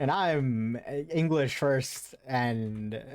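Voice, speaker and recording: A man speaks in a Southern California accent with ordinary pitch variation. The recording is very clean, with a silent background. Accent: SoCal. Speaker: game dev livestreamer. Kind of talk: casual livestream chat. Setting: live stream. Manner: casual, interjection-heavy.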